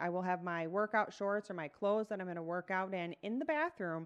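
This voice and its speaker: A woman with an ordinary speaking voice talks at medium pitch and a moderate pace over a quiet background. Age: 40s. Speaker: fitness coach and podcaster. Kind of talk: casual solo monologue. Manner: conversational, with fillers.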